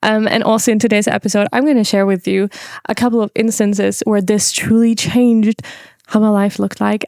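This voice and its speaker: Fairly quick delivery in a flat monotone, with a dry, close sound and no echo. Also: woman. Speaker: podcast host. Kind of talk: casual monologue.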